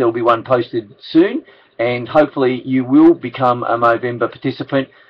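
With fairly even intonation, a man keeps up a fairly quick pace. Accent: Australian. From Australia. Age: 60s. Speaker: charity campaign ambassador. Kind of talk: casual appeal to camera. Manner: hesitant, many fillers. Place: office. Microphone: webcam.

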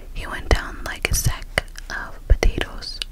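A woman is whispering. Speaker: storyteller. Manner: soft, close-mic ASMR reading voice. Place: home room. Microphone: studio mic.

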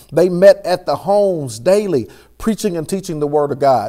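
The speaker is male. Nothing much can be heard behind him. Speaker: church pastor. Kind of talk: sermon. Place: studio.

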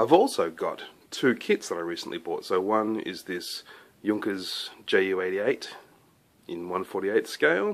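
A man talks at a very slow pace. His loudness swings widely from moment to moment. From Australia. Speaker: scale model maker and YouTuber. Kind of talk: casual show-and-tell vlog. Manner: relaxed, with frequent fillers. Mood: relaxed, enthusiastic. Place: workshop. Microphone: phone near.

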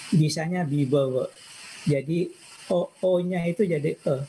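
A man's fairly high-pitched voice over light background noise. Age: 60s. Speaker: information systems professor. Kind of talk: personal life talk. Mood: calm, reflective. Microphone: video call.

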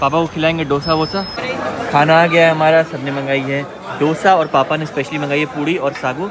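A man at a fairly high pitch and fairly quick pace, with little pitch movement, over clear background noise and clear crowd noise.

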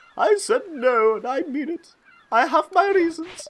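A man's put-on character voice, hoarse and strained, at an extremely high pitch and moderate pace. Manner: bossy, haughty, curt.

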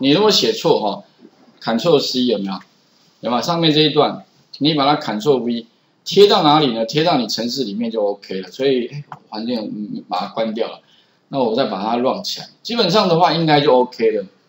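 The speaker has a Taiwanese accent. The pitch swings very widely. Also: man, medium pitch for a man, moderate pace. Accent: Taiwanese Mandarin. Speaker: programming instructor. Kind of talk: classroom lecture. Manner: frequent filler particles.

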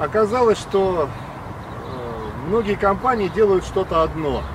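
Noticeable background noise runs under the speech. The man's voice sits high in pitch. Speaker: actor, announcer, acting and speech teacher. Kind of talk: corporate voice-over narration.

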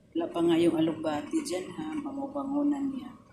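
Moderate-paced female speech in a room with audible echo. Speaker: vlogger, overseas worker. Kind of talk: cooking vlog. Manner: halting, stammering.

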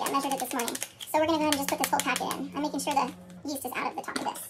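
A woman talks against noticeable background noise. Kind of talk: tutorial. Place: kitchen. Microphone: phone near.

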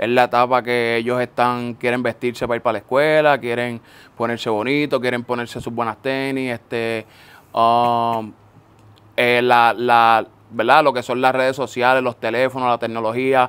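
At a moderate pace, a man speaks with a medium pitch in a monotone, flat intonation. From Puerto Rico (Florida, north coast). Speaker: sneaker store owner. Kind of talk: casual interview chat. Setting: in person with host.

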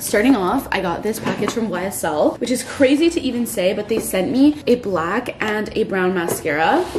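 A woman barely pauses as she talks, with noticeable background noise behind her. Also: moderate pace. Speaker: lifestyle vlogger. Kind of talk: casual vlog chat. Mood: excited, upbeat. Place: home room. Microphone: phone near.

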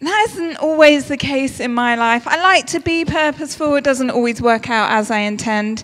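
A fairly slow pace over a quiet background. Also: woman. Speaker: speaker. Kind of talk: sermon. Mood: warm, lightly humorous. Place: church. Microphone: handheld.

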